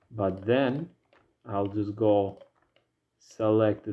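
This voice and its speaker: Very slowly, a man with a non-native accent speaks in a fairly low pitch. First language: not English. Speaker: 3D modeling hobbyist. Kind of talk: tutorial. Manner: casual, hesitant with fillers.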